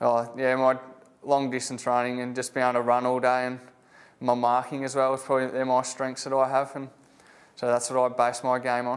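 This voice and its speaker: Delivered at a fairly quick pace, this voice carries a strong Australian accent and monotone, flat intonation. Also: man, medium pitch for a man. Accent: broad Australian, country. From Australia, Bacchus Marsh, Victoria. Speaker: AFL rookie footballer. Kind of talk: interview. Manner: casual, laid-back.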